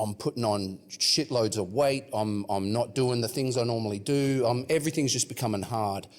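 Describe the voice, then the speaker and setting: Speech at a moderate pace holds a very even loudness. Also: man, medium pitch for a man, ordinary pitch variation, hardly any pauses. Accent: Australian. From Western Australia (Perth). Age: 30s. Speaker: rapper. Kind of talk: casual chat.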